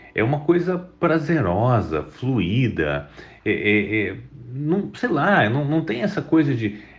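The voice has vocal fry and very wide pitch swings at a very slow pace. Audible room echo surrounds it. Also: man, medium pitch for a man. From Espírito Santo, Brazil (Vitória). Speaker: tech entrepreneur. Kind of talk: interview.

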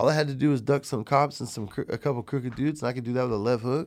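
In a very clean recording with a silent background, a man talks at a very fast pace and medium pitch. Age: 40s. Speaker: chocolate maker guest.

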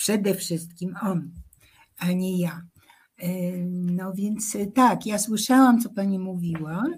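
A somewhat breathy woman at medium pitch with ordinary pitch variation, a very slow pace and long, frequent pauses, with audible room echo. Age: 80s+. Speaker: songwriter and social activist. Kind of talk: radio interview.

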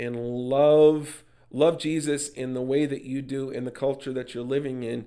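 A man's medium-pitched voice with an American accent, a dark, mellow tone, monotone, flat intonation and a fairly slow pace. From US Midwest, Minnesota. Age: 50s. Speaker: pastor and author. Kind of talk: casual chat.

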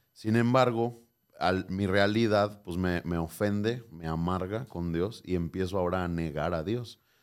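A man's very deep, low voice with a Mexican accent at a fairly slow pace, on a very clean recording with a silent background. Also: ordinary pitch variation. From Mexico, Michoacán. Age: 20s. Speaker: pastor. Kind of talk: interview.

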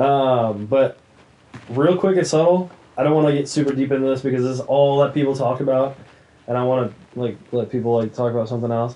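Using a plain, everyday voice, a man talks at a fairly quick pace and medium pitch with ordinary pitch variation. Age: 20s. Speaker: podcast co-host. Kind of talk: casual chat.

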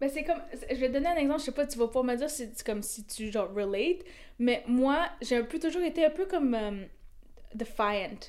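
The delivery moves along fairly quickly. Its intonation stays lively throughout. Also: woman, high pitch for a woman. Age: 20s. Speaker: photographer. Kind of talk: casual chat.

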